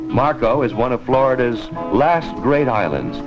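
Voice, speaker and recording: Music plays in the background as a man speaks. His pace is moderate and his intonation lively. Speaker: TV host. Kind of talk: promotional film narration. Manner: casual, chatty.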